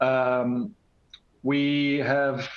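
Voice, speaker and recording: There is audible room echo and noticeable background noise. Over it, a man speaks at a fairly high pitch. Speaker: company CEO. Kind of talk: conference panel introduction. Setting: conference panel.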